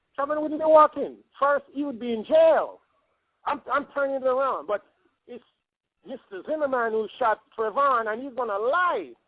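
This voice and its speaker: A man with a Jamaican accent and an extremely high pitch talks at a moderate pace with ordinary pitch variation. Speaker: caller. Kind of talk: phone interview. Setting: phone call. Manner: animated.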